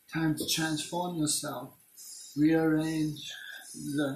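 In a recording with audible room echo and light background noise, a man talks at a very slow pace. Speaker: self-filming vlogger. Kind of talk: freeform philosophical rambling, semi-rhymed. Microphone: phone near.

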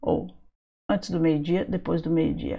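A woman is speaking. The background is quiet. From Brazil. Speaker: English teacher. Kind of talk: online lesson for sixth graders. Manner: animated. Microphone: webcam.

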